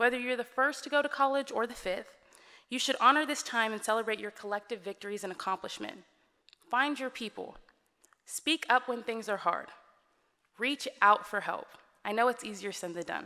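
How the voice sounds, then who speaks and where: A woman with an American accent speaks in a fairly high pitch and a bright, sharp tone. Long, frequent pauses break her speech over a quiet background. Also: ordinary pitch variation, moderate pace. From Texas, Dallas. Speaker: student speaker. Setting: stage with audience. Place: hall. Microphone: podium.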